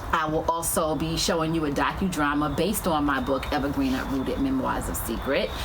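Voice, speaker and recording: A woman with a New York accent talks at a fairly quick pace and a very deep, low pitch, with very even loudness and hardly any pauses, amid audible room echo and noticeable background noise. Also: ordinary pitch variation. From New York, South Bronx. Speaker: author and filmmaker. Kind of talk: live stream presentation. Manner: halting, stuttering.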